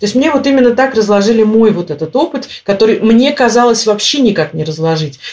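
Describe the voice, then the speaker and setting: Speaking at a fairly quick pace with hardly any pauses, a woman's fairly high voice makes very wide pitch swings. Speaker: emigrant interviewee. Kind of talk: interview. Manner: animated.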